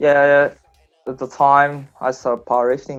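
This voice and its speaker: Over music in the background, a man with a fairly high pitch is speaking. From Japan. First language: Japanese. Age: 20s. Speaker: powerlifting athlete. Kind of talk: interview. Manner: halting, many fillers.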